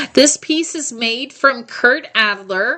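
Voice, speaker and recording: A woman uses a raised, projected voice at a high pitch with ordinary pitch variation. She speaks at a very slow pace. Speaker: live shopping host. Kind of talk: live shopping presentation. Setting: livestream. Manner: loud; animated. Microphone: echo in the sound.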